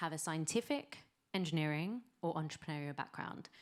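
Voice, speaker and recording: A woman with a British accent speaks at a fairly low pitch in a very clean recording with a silent background. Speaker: venture capital investor. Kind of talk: pitch presentation.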